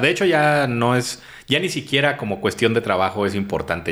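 A man speaks with a Mexican accent. His pace is fairly quick. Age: 30s. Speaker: comedian and schoolteacher. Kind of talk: casual chat.

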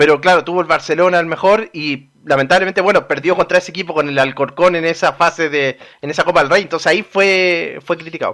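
A man with a high-pitched, bright, sharp voice talks very fast with fairly even intonation. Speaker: radio newsreader and co-host. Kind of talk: casual radio chat. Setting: radio studio.

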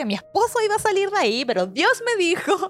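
A woman's fairly quick speech is heard through noticeable background noise. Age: 30s. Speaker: missionary leader. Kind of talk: testimony.

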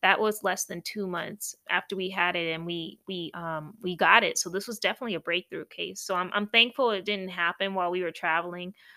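A woman talks at a fairly quick pace and medium pitch with a bright, sharp tone, the sound dry and close with no echo on a very clean recording with a silent background. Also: fairly even intonation. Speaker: podcast host.

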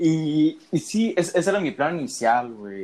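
A man is speaking. His pitch moves in very wide swings. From Mexico, Veracruz. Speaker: podcast co-host, student. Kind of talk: casual chat.

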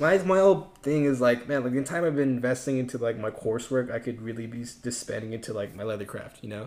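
With an American accent, a man talks at a very fast pace with hardly any pauses. His pitch is medium, with ordinary variation. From Southern California, West Covina. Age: 20s. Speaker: college student. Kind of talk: casual chat.

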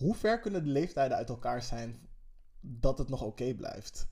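He talks fairly slowly, his pitch varying in an ordinary way. The man has an ordinary speaking voice at a medium pitch. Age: 30s. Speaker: podcast co-host. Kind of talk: casual chat.

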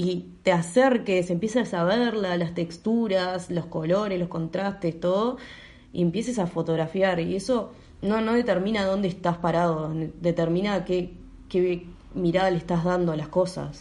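Dark, mellow tone from a woman at a medium pitch, fairly slow and with fairly even intonation. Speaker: photographer and medical student. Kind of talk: interview.

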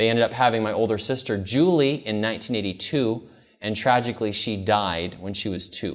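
With an American accent, a man speaks at a medium pitch in a warm tone, using ordinary pitch variation at a fairly quick pace amid audible room echo. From California, US. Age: 30s. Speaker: pastor. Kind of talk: camp-meeting seminar sermon with personal testimony, calling for amens. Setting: camp meeting with live congregation. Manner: earnest, warm, conversational with frequent um and uh fillers.

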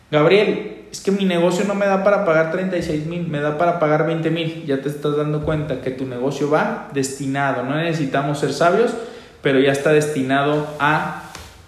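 A man talks at a fairly slow pace in an animated tone, with ordinary pitch variation. The room echo is audible, and there is noticeable background noise. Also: fairly high pitch for a man. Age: 30s. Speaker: radio host and financial coach. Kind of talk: radio call-in advice show.

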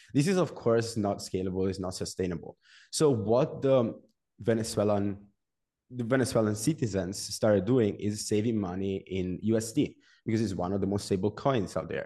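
The voice has a dark, mellow tone and an Italian accent, with ordinary pitch variation. It moves at a moderate pace over a quiet background. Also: man, fairly low pitch for a man. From Italy, Genoa. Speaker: developer and content creator. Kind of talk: interview.

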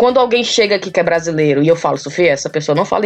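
A woman's animated, lively intoned speech at a very fast pace. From Ceará, Brazil. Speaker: podcaster living abroad. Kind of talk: casual chat. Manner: loud.

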